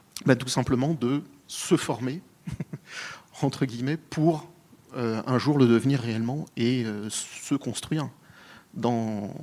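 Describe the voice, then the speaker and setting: At a very slow pace and with long, frequent pauses, a man talks in a medium pitch with a dark, mellow tone. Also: ordinary pitch variation. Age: 30s. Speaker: panelist. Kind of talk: panel discussion. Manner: hesitant, many fillers.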